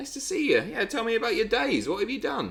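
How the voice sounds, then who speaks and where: An extremely high-pitched man speaks with a British accent. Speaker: livestreamer. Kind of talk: casual chat.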